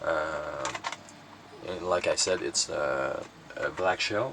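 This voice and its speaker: A Quebec accent over noticeable background noise. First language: French. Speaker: cassette collector YouTuber. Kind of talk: casual collection showcase. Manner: halting, many fillers.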